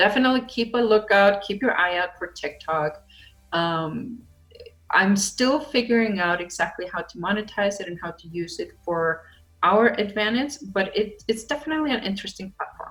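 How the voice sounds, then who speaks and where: With music in the background, a woman with a non-native accent speaks at a medium pitch and a moderate pace, her intonation lively and her loudness swinging widely. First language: not English. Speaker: social media marketing coach. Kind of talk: online training video.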